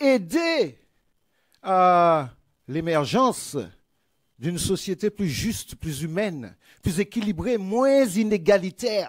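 A man talks very slowly. Behind him the background is quiet. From Martinique. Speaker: politician. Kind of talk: political rally speech. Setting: stage with audience. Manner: oratorical. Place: hall. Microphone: podium.

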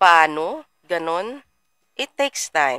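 Her tone bright and sharp, a woman with a fairly low pitch speaks at a very slow pace with lively intonation, the sound dry with no echo over a quiet background. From Philippines. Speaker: trading mentor; trading mentor livestreamer. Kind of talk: live stream. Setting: livestream. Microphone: webcam.

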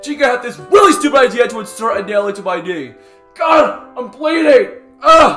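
In a cartoonish character voice, a man talks at a moderate pace with an extremely high pitch and a fairly bright tone, while faint music plays in the background. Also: lively intonation.

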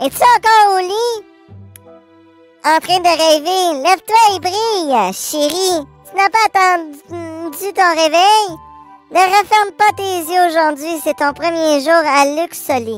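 Putting on a character voice at an extremely high pitch, a woman speaks at a fairly slow pace with lively intonation and long, frequent pauses, while faint music plays in the background. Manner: warm, coaxing, cheerful.

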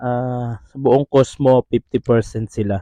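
A dark, mellow male voice with a dry, close sound and no echo. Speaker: travel vlogger. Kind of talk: vlog narration. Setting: bowling and arcade venue.

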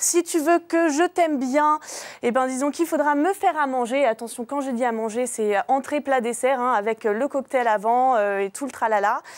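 A woman speaks in a high voice at a moderate pace. Her pitch varies in an ordinary way over a quiet background. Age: 20s. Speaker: dating video advertiser. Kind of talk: personal dating ad. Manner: hesitant, many fillers. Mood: playful, teasing. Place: studio.

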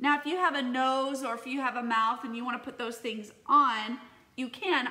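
Her voice high in pitch, a woman speaks at a moderate pace with ordinary pitch variation. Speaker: teacher. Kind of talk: casual tutorial vlog chat. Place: home room. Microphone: phone near.

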